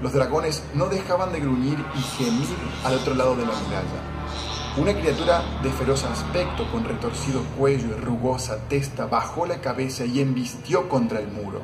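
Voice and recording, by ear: A man's medium-pitched voice with lively intonation at a moderate pace, over clear music in the background.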